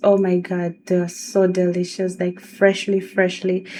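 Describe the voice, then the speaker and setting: A woman with a Tanzanian accent at a very slow pace. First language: Swahili. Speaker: video blogger. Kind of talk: casual vlog talk.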